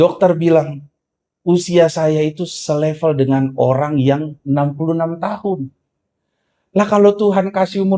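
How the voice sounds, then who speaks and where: High male pitch and a dark, mellow tone, delivered at a moderate pace. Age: 40s. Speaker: pastor. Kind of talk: sermon.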